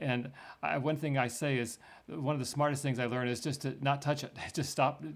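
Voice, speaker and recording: In a very clean recording with a silent background, a man with an ordinary speaking voice talks at a fairly quick pace with fairly even intonation. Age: 60s. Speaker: retiree turned investor. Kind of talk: interview.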